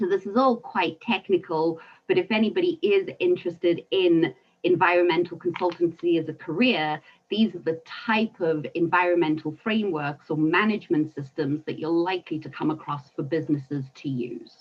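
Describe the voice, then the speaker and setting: With a South African accent, a woman speaks at a moderate pace in a fairly low pitch, her pitch varying in an ordinary way. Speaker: environmental consultant. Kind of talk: webinar talk.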